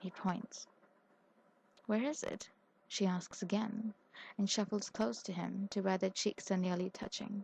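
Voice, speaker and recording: A soft-spoken woman talks at a very slow pace in a medium pitch, her somewhat breathy voice fairly even in intonation and recorded with a dry, close sound with no echo. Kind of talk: audiobook reading.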